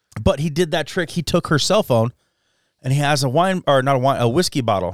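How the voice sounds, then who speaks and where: A man with an American accent and medium pitch talks at a very fast pace with lively intonation, in a dry, close sound with no echo. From southern Idaho, Jerome. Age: 40s. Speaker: podcast host. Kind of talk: casual chat.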